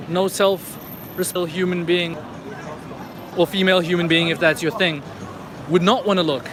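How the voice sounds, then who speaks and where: Someone speaks at a moderate pace with long, frequent pauses while crowd noise fills the background. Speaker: livestreamer walking city streets. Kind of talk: live stream walking commentary. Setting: outdoors on city streets at night. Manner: casual, conversational.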